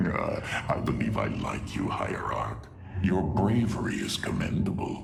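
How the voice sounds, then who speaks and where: A man puts on a cartoonish character voice at a moderate pace. Clear background noise runs underneath. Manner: haughty, sardonic.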